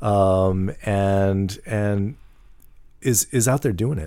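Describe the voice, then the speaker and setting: A man with an American accent speaks at a very slow pace, his pitch fairly low and his tone dark and mellow. His pitch varies in an ordinary way, and the recording is very clean with a silent background. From US Midwest, St. Louis area, Missouri. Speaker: nonprofit founder helping formerly incarcerated people. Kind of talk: casual interview. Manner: repetitive, halting restarts.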